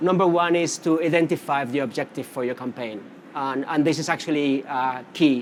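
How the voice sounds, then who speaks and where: A man with a Spanish accent at a fairly quick pace. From Canary Islands, Spain. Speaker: social media marketing specialist. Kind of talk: conference presentation. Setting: conference stage with audience. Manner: casual, many fillers.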